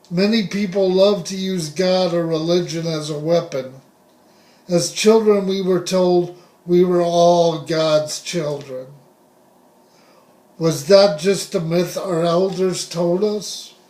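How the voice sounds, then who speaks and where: A man with an American accent talks at a very slow pace in a high voice, his intonation fairly even. Audible room echo is present. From US West (Southern California). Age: 60s. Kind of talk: personal testimony monologue.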